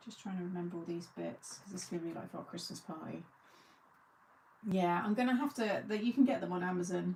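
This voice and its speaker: A woman in an English accent, medium-pitched, at a fairly quick pace. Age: 40s. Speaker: crafting video host. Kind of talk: casual chat. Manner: chatty.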